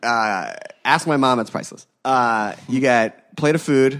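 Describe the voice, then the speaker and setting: In a very clean recording with a silent background, a man with an American accent talks at a medium pitch in an unremarkable speaking voice. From Philadelphia, US. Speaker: food podcast host. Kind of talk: casual chat.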